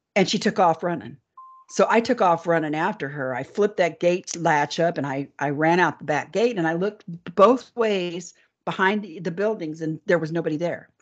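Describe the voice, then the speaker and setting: At a moderate pace, a woman's fairly low pitch shows ordinary variation in an unremarkable speaking voice. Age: 60s. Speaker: alien abductee and author. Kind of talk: interview storytelling.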